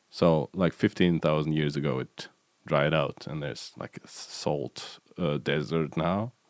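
In a dry, close recording with no echo, a man with a very deep, low pitch and vocal fry speaks fairly slowly with ordinary pitch variation. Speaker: podcast host. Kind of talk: casual chat.

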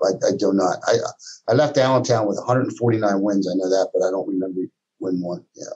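Here a man with a fairly low pitch and an unremarkable speaking voice talks at a moderate pace with ordinary pitch variation. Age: 60s. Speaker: college basketball coach. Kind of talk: interview.

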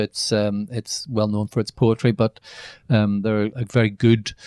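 In a Northern Irish accent, a man talks at a moderate pace with a fairly low, monotone, flat delivery, recorded very cleanly against a silent background with a dry, close sound and no echo. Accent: Northern Irish (Belfast). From Northern Ireland, Belfast. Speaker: novelist and screenwriter. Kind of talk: interview. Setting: office at a university.

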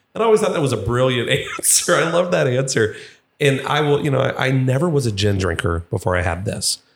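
With very wide pitch swings and vocal fry, a man speaks at a medium pitch and a fairly quick pace. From Kentucky, Louisville. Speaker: distillery representative. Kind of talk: casual chat.

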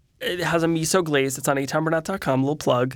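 Heard on a very clean recording with a silent background, a man with an American accent speaks at a fairly quick pace with fairly even intonation. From New Jersey. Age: 20s. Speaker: celebrity chef and influencer. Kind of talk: interview. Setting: studio.

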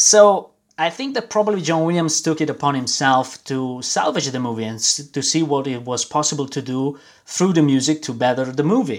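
A man speaks with an Italian accent and lively intonation, recorded very cleanly against a silent background. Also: fairly high pitch for a man, moderate pace. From Milan, Italy. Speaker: guest co-host, film music enthusiast. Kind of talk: casual chat. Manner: halting.

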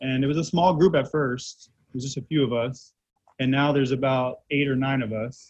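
Somewhat breathy, a man with an American accent talks at a moderate pace and medium pitch, with fairly even intonation. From Central Florida (Titusville). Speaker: hair stylist. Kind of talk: interview. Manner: casual, frequent fillers.

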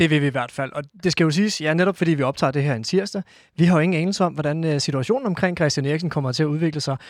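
A man's fairly high voice at a very fast clip, ordinary pitch movement, very clean recording with a silent background. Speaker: football podcast co-host. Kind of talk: casual chat. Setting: studio.

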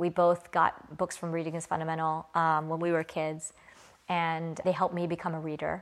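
A woman with an American accent speaks at a moderate pace in a flat monotone. The recording is very clean, its background silent. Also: fairly low pitch for a woman. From US South. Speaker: CEO of a children's media company. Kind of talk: casual interview. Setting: in person.

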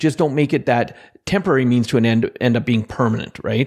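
This is an ordinary speaking voice with a Canadian accent. The pace is fairly quick. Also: man. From central Alberta, Canada. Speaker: motivational speaker and financial expert. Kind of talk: interview. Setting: remote interview.

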